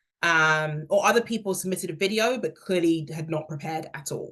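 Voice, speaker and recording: A woman with a very deep, low pitch and a somewhat breathy voice speaks at a moderate pace with ordinary pitch variation. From England, London. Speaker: career workshop speaker, hiring manager. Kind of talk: workshop talk.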